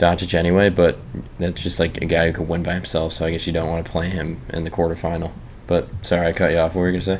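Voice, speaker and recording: Through noticeable background noise, a man talks very fast in a very deep, low voice with monotone, flat intonation. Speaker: pro basketball player and podcast host. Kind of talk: casual podcast chat.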